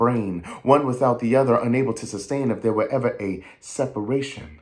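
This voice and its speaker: A man with an American accent talks at a fairly quick pace, at medium pitch with ordinary pitch variation. Noticeable background noise is present. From New York. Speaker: actor, audiobook narrator, voice-over artist, writer. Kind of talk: spoken word poetry performance.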